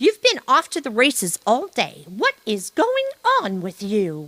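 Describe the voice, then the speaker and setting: A put-on character voice, female-sounding, high-pitched and at a fairly slow pace. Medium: read story. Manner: brisk, folksy.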